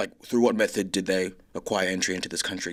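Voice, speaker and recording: A man speaks with an Australian accent. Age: young. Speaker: filmmaker and writer. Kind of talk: interview answer. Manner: casual, hesitant.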